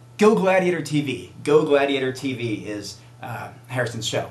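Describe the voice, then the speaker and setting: Audible room echo surrounds a man talking in an animated tone with lively intonation. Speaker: vegan bodybuilder and video show host. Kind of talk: casual vlog monologue. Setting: self-recorded video. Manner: fast.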